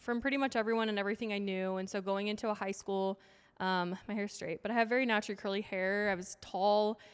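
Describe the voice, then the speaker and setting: A woman with a western US accent, medium pitch and fairly even intonation, at a very fast pace. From Utah. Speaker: fitness coach and speaker. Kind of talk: casual chat.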